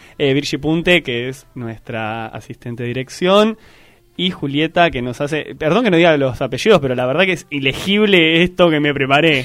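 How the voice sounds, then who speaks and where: Music plays in the background as a man speaks at a moderate pace. His pitch is fairly high and his intonation lively. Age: 20s. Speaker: actor and theatre teacher. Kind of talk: radio interview. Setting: radio studio.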